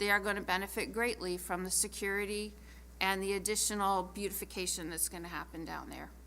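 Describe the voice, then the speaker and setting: A woman speaks at a moderate pace. There is audible echo in the room. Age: 60s. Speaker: city council member. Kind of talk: council meeting debate.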